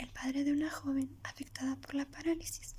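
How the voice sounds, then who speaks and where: A soft-spoken voice with flat, monotone intonation. The pace is moderate. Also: woman. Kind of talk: ASMR soft-spoken storytelling. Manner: soft-spoken, relaxing.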